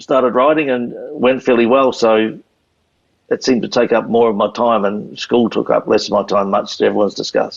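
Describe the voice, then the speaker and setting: A man's medium-pitched voice with a New Zealand accent, ordinary pitch variation and a fairly quick pace. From New Zealand, Canterbury. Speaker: retired motorcycle racer. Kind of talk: interview storytelling.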